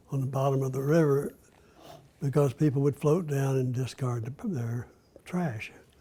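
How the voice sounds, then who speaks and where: Somewhat breathy and dark, mellow in tone, a man speaks at a moderate pace. He has an American accent and a fairly high pitch. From US South, Florida (Gainesville). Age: 80s+. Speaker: former state legislator. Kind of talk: interview. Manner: halting.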